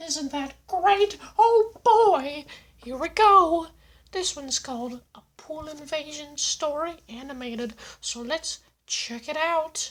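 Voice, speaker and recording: A put-on character voice speaks at a high pitch and a fairly slow pace. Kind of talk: casual reaction commentary. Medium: role play. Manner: upbeat, exaggerated.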